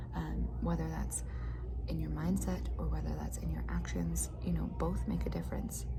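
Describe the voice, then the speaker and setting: Music plays in the background as a soft-spoken woman talks in a very deep, low pitch. Her intonation is monotone and flat, with very even loudness. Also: moderate pace. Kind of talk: casual talk to camera, motivational chat. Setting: cafeteria / office with muffled background noise.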